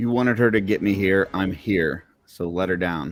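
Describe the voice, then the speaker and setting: Putting on a raspy character voice, a man talks at a moderate pace with a very deep, low pitch. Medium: actual play. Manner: blunt, gruff.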